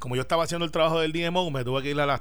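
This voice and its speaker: A man is speaking. Audible echo fills the room. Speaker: senator. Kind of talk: political radio panel discussion.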